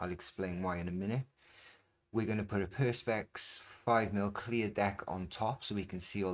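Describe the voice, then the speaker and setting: On a very clean recording with a silent background, a man speaks in a British accent. His pitch is very deep and low, and his pace is fairly quick. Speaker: scooter repair and modding youtuber. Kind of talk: tutorial. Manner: fast; casual, with filler ums.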